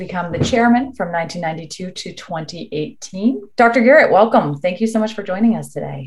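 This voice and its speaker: A woman talks at a moderate pace with a medium pitch. Her voice is somewhat breathy, with ordinary pitch variation. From Virginia, Richmond. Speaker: dermatologist interviewer. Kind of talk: interview.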